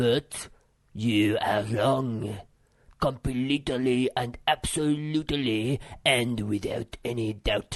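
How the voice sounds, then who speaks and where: In a put-on character voice, a man speaks at a very slow pace with a medium pitch and fairly even intonation. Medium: read story. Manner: gloomy, pedantic.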